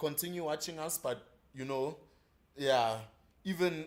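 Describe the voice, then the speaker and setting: A man talks at a fairly high pitch. His pace is fairly slow, with ordinary pitch variation. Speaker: live stream co-host. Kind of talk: casual live stream chat.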